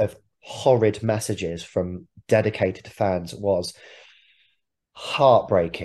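A man's fairly low, dark and mellow voice, somewhat breathy, with ordinary pitch variation, a very slow pace and long, frequent pauses over a quiet background. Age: 30s. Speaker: rock musician. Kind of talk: interview.

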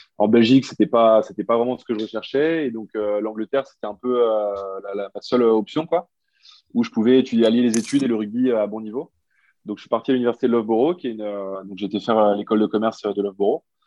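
A man at a medium pitch talks at a very fast pace. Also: ordinary pitch variation. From Belgium, Brussels. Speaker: rugby player. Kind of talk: interview. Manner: halting.

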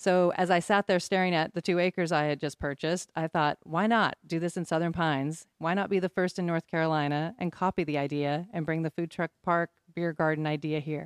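A woman with a plain, everyday voice speaks at a fairly low pitch and a fairly quick pace, her intonation fairly even, in a very clean recording with a silent background and a dry, close sound with no echo. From Oregon, US Pacific Northwest. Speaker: business owner. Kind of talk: casual interview.

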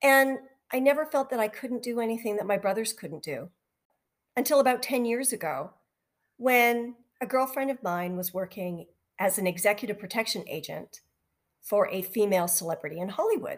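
Lively intonation from a woman in a Canadian accent, fairly high-pitched, at a moderate pace with long, frequent pauses. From Western Canada (near Vancouver). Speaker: podcast host. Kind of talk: podcast monologue.

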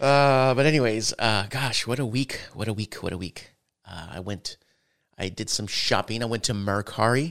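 A normal speaking voice from a man, medium in pitch, with ordinary pitch variation and a moderate pace. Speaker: gaming podcast host. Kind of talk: casual chat. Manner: jokey, frequent laughter.

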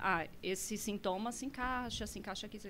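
A woman talks at a moderate pace. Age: 40s. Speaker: psychologist. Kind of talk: podcast interview.

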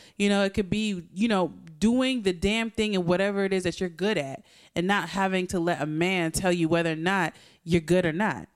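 Speaking at a fairly quick pace, a woman with an American accent uses an ordinary speaking voice at medium pitch with ordinary pitch variation. Her loudness stays very even, and the recording is very clean with a silent background. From US coastal region. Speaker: podcast co-host. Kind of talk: casual chat.

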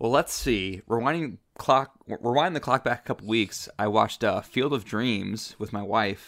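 A man with an American accent talks at a moderate pace with ordinary pitch variation. He has an ordinary speaking voice, and the recording is very clean with a silent background. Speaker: podcast co-host. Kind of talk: casual chat.

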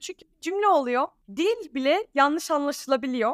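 On a very clean recording with a silent background and a dry, close sound with no echo, a woman speaks high with lively intonation. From Alanya, Turkey (Danish family). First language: Danish (speaking Turkish). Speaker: content creator. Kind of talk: casual interview chat.

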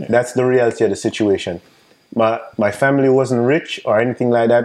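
A man with a Jamaican accent. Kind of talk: casual interview.

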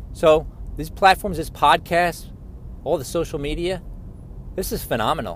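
A man with a fairly high pitch and ordinary pitch variation speaks at a moderate pace. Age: 50s. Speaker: podcaster. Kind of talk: casual monologue. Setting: in a car. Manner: conversational, with filler words.

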